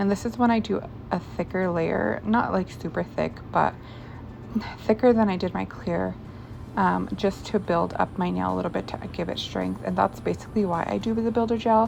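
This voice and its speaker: A woman keeps a moderate pace while music sounds in the background. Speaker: nail tutorial creator. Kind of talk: tutorial. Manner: casual, filler-heavy.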